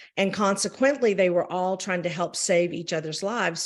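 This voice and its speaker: In a very clean recording with a silent background, a woman with a Southern US accent speaks at a medium pitch with ordinary pitch variation. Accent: Southern US accent on her French. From US South. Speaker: champagne brand representative. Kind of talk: interview. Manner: hesitant, many fillers.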